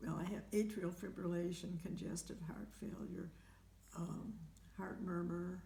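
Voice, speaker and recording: A woman's dark, mellow voice, fairly low in pitch with vocal fry, flat monotone intonation and a fairly slow pace, with audible room echo. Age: 80s+. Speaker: home care client with heart conditions. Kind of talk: interview. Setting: at home. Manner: halting.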